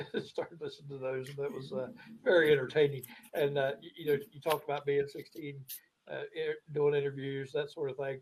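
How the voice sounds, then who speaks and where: Speaking with an American accent, a man with a fairly high, somewhat breathy voice keeps his intonation monotone and flat. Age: 60s. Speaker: sports show guest. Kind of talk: casual chat. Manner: halting, many fillers.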